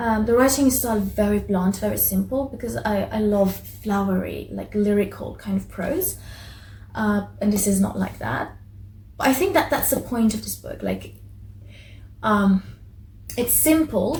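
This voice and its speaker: With a Persian accent, a woman speaks at a fairly slow pace, leaving long, frequent pauses. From Iran. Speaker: book vlogger. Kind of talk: casual book review. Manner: halting, many fillers and restarts.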